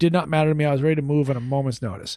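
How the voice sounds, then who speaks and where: A man talks in an animated tone at a fairly high pitch. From Maine, New England. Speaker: TV news anchor. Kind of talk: podcast interview. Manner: clear diction.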